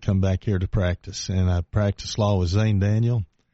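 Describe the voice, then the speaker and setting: With an East Tennessee accent, a man speaks at a fairly quick pace. His fairly low voice keeps a monotone, flat intonation. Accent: East Tennessee Southern. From East Tennessee, Knoxville. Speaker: retired congressman. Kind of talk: radio interview. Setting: radio studio.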